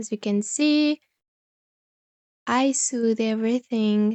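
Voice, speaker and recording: A woman with a non-native accent speaks very slowly at a fairly high pitch, with ordinary pitch variation. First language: not English. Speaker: crochet youtuber. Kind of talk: tutorial.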